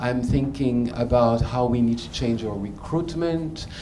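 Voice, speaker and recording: A man with a medium pitch and ordinary pitch variation talks in a room with audible echo and noticeable background noise. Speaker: learning and development executive, panelist. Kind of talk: panel discussion. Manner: halting, many fillers.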